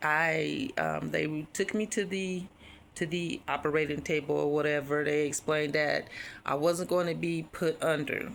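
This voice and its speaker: Her pitch very deep and low for a woman, she speaks with fairly even intonation. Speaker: vlogger. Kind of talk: personal story. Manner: hesitant, many fillers.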